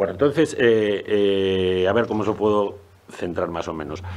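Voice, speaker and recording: With ordinary pitch variation, a man talks in a very deep, low pitch. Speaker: zoology professor and researcher. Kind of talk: panel presentation. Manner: fast; hesitant, many fillers.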